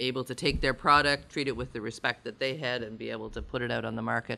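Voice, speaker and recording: A man talks at a medium pitch with vocal fry and a bright, sharp tone. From Nova Scotia. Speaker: coffee co-op founding member. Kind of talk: conference presentation.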